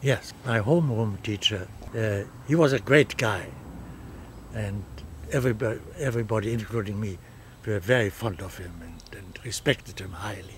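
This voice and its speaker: A man's fairly low voice with a German accent, ordinary pitch variation, big swings in loudness, a moderate pace and long, frequent pauses. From Germany. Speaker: refugee from Nazi Germany. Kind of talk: oral history interview answer.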